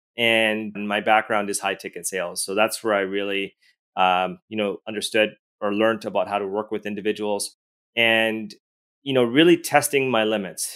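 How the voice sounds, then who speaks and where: A man speaks in a normal speaking voice with a Canadian accent. His pace is moderate and his intonation fairly even. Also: fairly low pitch for a man. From Edmonton, Alberta, Canada. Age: 40s. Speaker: real estate investor and sales mentor. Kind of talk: interview.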